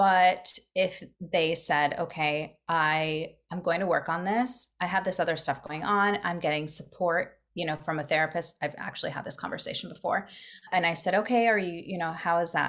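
A woman with an ordinary speaking voice talks at a fairly low pitch and keeps her intonation fairly even. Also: moderate pace. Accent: American. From Florida. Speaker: business coach. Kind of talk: casual chat.

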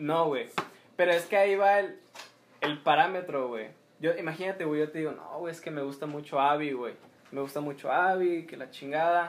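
With a normal speaking voice, a man talks at a fairly high pitch, his intonation fairly even while his loudness swings widely. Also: moderate pace. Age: 20s. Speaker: podcast co-host. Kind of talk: casual chat.

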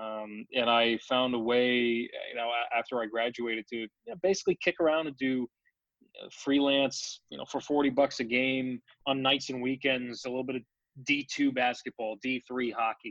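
A man with an American accent speaks in a normal speaking voice at medium pitch and a moderate pace. His intonation is fairly even, and the sound is dry and close with no echo. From New York (Brooklyn). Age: 20s. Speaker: hockey play-by-play broadcaster. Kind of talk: interview.

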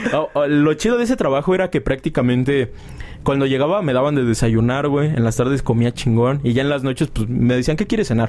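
A man with a fairly high voice speaks at very even loudness, with ordinary pitch variation. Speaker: podcast host. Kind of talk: casual chat. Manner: animated.

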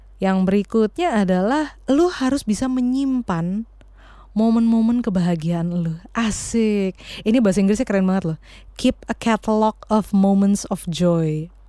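Her dark, mellow tone sits at a medium pitch, with lively intonation. The woman moves at a fairly slow pace in very even loudness. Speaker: podcast co-host. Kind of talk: casual chat.

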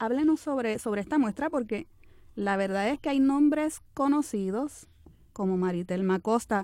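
Lively intonation and a dark, mellow tone come through at a fairly slow pace on a very clean recording with a silent background. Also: woman, fairly high pitch for a woman. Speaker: radio host. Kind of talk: interview.

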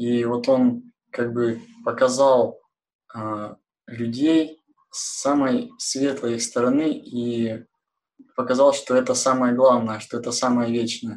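A man at a very slow pace, medium-pitched, flat and monotone, with long, frequent pauses. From Kurgan, Urals. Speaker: research engineer. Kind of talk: live online discussion. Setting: video call.

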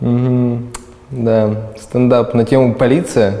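The flat, monotone delivery is heard through audible room echo and noticeable background noise. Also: man. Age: 20s. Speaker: video blogger and producer. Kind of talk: interview.

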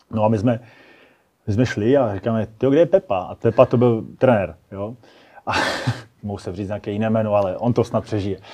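Pitch varies in an ordinary way at a fairly quick pace. Long pauses come often. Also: man, fairly low pitch for a man. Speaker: firefighter and fire sport athlete. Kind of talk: casual interview. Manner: halting.

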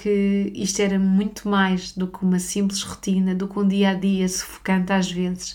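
Her intonation is monotone and flat. This woman speaks at a medium pitch and a moderate pace. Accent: European Portuguese. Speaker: spiritual therapist and podcast host. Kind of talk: personal storytelling monologue.

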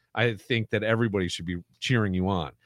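A man's fairly low voice at a fairly quick pace, dry and close with no echo, on a very clean recording with a silent background. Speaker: podcast host and contest emcee. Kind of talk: casual chat. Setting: studio.

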